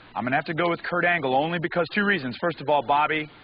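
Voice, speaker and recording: Noticeable background noise sits behind the speaker. He is a man with an American accent. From US South, Fayetteville, North Carolina. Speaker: pro wrestler. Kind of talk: casual panel chat.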